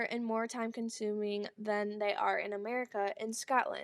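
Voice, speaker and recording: Here a woman talks at a fairly high pitch. It is an unremarkable speaking voice at a moderate pace. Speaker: student. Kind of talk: oral history project narration.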